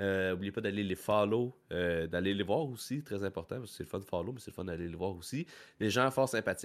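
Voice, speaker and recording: Talking very fast with a Quebec accent, a man uses a fairly low pitch and ordinary pitch variation on a very clean recording with a silent background. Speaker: podcast host. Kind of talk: casual chat. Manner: laughs often.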